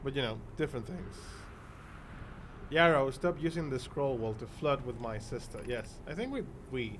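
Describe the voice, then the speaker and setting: At a moderate pace, a man speaks in a medium-pitched, somewhat breathy voice with ordinary pitch variation and long, frequent pauses. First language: Spanish. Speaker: streamer. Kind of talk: live gameplay commentary. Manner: halting.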